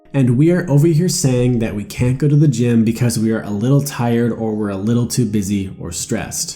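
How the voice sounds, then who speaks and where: Music plays in the background as a man talks at a fairly quick pace with lively intonation. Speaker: motivational YouTuber. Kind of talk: personal story narration for animated video.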